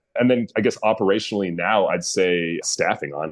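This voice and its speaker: In an American accent, a man talks with a very deep, low pitch and ordinary pitch variation. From Northern California, US. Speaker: brewery and taproom owner. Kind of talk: interview.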